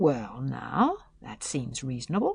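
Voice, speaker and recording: Put-on character voice, fairly slow in pace. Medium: read story. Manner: slow, hesitant, few words.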